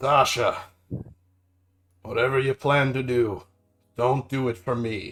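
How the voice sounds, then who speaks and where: Putting on a raspy character voice at a medium pitch, a man speaks fairly slowly in a monotone, flat delivery with long, frequent pauses. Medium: read story. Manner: quiet, measured.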